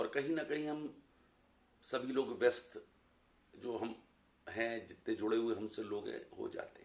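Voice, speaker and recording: A man speaks with big swings in loudness. His pauses are long and frequent. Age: 60s. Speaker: college professor. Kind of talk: personal reflection talk.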